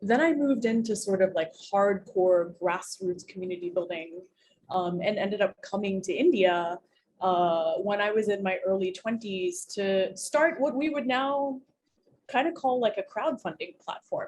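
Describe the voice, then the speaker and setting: With an American accent, a woman uses an ordinary speaking voice at medium pitch, her intonation lively. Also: moderate pace. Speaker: community leader. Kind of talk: interview. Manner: casual, filler-heavy.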